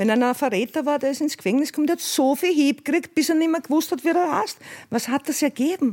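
A woman with a high pitch, at a very fast pace, with very even loudness and ordinary pitch variation. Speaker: former drug dealer. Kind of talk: testimony.

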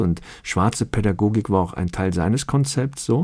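A man with a fairly low pitch speaks in a dark, mellow tone with lively intonation. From Cologne, Germany. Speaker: cabaret artist and actor. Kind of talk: radio interview.

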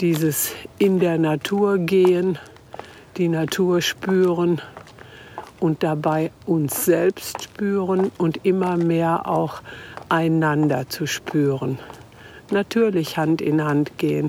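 Over noticeable background noise, a woman speaks very slowly in a fairly low voice, leaving long, frequent pauses. Her loudness stays very even and her intonation fairly even. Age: 70s. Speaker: featured interviewee, mother of the reporter. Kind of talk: documentary interview. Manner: talkative.

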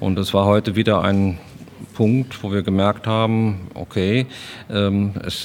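A plain, everyday voice from a man, fairly low in pitch with fairly even intonation. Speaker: bereaved father. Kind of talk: interview. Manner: reflective.

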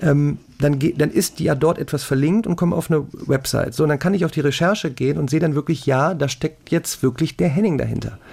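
A man's fairly quick delivery with vocal fry, very even loudness and ordinary pitch variation. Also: fairly high pitch for a man. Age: 40s. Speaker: math YouTuber and online tutor. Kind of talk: casual chat.

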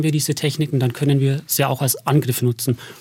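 In a fairly quick, somewhat breathy voice, a man with a fairly high pitch and fairly even intonation speaks with a slight Bavarian accent. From Bavaria, Berchtesgaden. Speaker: propaganda researcher. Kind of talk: radio interview.

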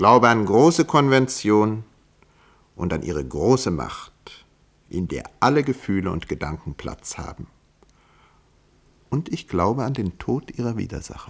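A man puts on a character voice with a fairly low pitch and a slightly husky edge. He talks at a fairly slow pace with big pitch swings and long, frequent pauses.

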